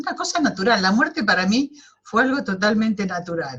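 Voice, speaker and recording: Her voice sits fairly high for a woman. Her pitch swings very widely as she talks. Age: 70s. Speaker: webinar participant. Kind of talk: personal testimony in group discussion. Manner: halting.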